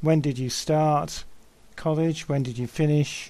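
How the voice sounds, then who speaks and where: Speaking fairly slowly with a British accent, a man uses a fairly high pitch, a dark, mellow tone and a monotone, flat intonation. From UK. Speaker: English teacher. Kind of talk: lesson.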